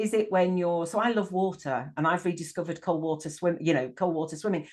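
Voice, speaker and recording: This woman talks at a fairly quick pace in a northern English accent, her pitch fairly low. Her intonation is lively and her loudness very even. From northern England. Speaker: life coach. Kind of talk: casual interview chat. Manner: halting, repeats words.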